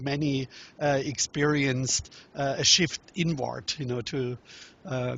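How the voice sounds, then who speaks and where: With a German accent, a man speaks at a fairly high pitch. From Germany. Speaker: relationship workshop teacher and author. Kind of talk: interview. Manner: halting.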